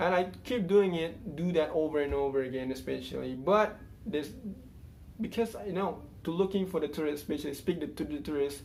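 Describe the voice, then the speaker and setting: Audible room echo surrounds a man speaking with an Indonesian accent. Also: fairly high pitch for a man, ordinary pitch variation. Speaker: YouTuber, English learner. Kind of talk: casual vlog monologue. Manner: halting, many fillers.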